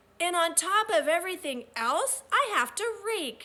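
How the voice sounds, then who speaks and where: A woman performs a put-on character voice at extremely high pitch. Her pitch swings very widely at a moderate pace. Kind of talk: complaining, annoyed. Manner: speaking through gritted teeth.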